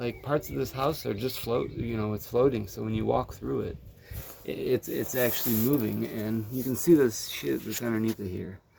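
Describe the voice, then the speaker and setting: Over noticeable background noise, the speaker moves at a moderate pace with lively intonation. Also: man, medium pitch for a man. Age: 30s. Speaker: carpenter. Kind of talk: casual vlog tutorial. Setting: under a mobile home. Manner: animated.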